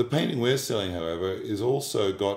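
Heard with audible room echo, a man speaks in a fairly low pitch with ordinary pitch variation. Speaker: art auctioneer / fine art specialist. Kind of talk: corporate narration / expert commentary about an artwork. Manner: measured, thoughtful, with hesitations and fillers. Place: home room.

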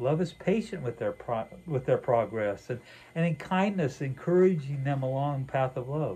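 A man's dark, mellow tone with a slightly husky edge, lively intonation and a moderate pace

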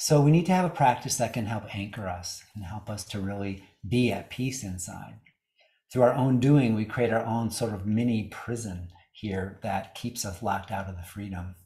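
Against a quiet background, a man speaks at a moderate pace in a fairly low, somewhat breathy voice with ordinary pitch variation. His loudness swings widely. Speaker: yoga teacher. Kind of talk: talk on yoga philosophy. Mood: warm, smiling, relaxed. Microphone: video call.

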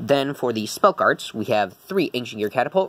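This is a man's voice. His delivery moves along fairly quickly. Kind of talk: tutorial. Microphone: phone near.

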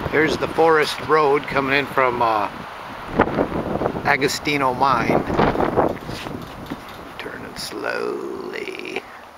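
A man is heard over loud background noise. The sound itself is dry, with no echo. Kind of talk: casual narration while walking. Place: open country. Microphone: phone near.

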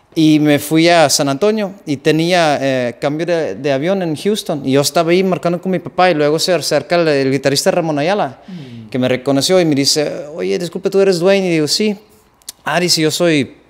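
With a Dutch accent, a fairly high-pitched man talks at a moderate pace with ordinary pitch variation. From Netherlands. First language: Dutch (speaking Spanish). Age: 30s. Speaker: accordion musician; guest. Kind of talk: casual interview. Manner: halting, repeats words. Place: home room.

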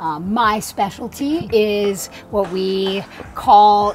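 Over light background noise, a woman talks at a fairly high pitch. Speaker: professional endurance athlete. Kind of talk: podcast interview host. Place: garden. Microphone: lapel.

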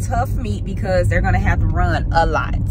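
A woman is speaking with loud noise in the background. The sound is dry, without echo. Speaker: parent vlogger. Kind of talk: casual vlog chat. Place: car. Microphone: phone near.

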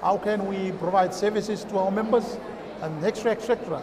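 A man with a Kiribati accent speaks at a high pitch over noticeable background noise. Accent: Kiribati (Pacific Islander) English. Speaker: chamber of commerce representative; guest. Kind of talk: interview. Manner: halting. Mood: friendly, relaxed. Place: stage.

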